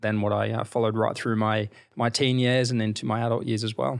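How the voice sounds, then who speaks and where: Over a very clean recording with a silent background, a man with an Australian accent talks at a fairly quick pace in a fairly low voice. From Queensland, Australia (rural). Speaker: fashion brand founder and CEO. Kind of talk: interview. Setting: hotel suite.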